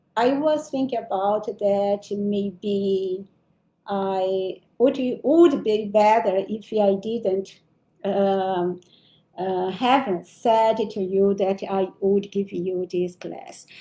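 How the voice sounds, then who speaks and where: With a Brazilian accent, a woman talks at a very slow pace in a medium pitch and a dark, mellow tone, with ordinary pitch variation. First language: Portuguese. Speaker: spiritual teacher. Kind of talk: spiritual lecture. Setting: livestream. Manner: halting, with self-corrections.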